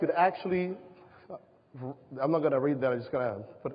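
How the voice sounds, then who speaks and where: A man speaks with a Spanish accent. His intonation is lively. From Panama. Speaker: presenter, safety box business. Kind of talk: presentation to an audience. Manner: halting.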